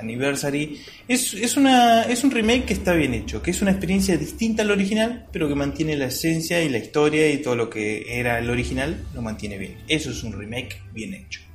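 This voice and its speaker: Speaking at a fairly quick pace with an Argentine accent, a man is heard over noticeable background noise and audible room echo. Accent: Rioplatense Argentine Spanish. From Argentina. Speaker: gaming podcast host. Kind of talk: casual chat.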